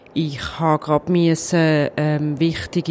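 Background noise is noticeable throughout. Over it, a woman talks. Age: 40s. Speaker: cantonal government minister. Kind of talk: interview.

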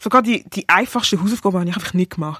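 A woman talks at a very fast pace with lively intonation. Her medium-pitched voice is recorded dry and close, with no echo. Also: very clean recording, silent background. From Basel, Switzerland. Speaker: rapper and singer sharing experiences of racism. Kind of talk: personal testimony.

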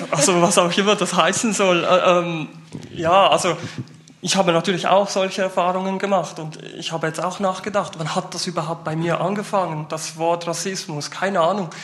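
A man talks in a high pitch and a flat monotone. He keeps a moderate pace over noticeable background noise. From Switzerland, Basel-Landschaft. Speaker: youth worker. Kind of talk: panel discussion.

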